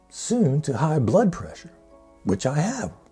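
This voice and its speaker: With music in the background, a man speaks with very wide pitch swings. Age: 70s. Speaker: longevity challenge host. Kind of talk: casual talk to camera.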